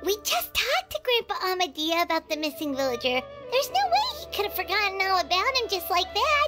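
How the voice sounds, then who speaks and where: Over clear background music, a put-on character voice at an extremely high pitch moves along at a fairly quick pace. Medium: machinima. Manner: chatty, expressive.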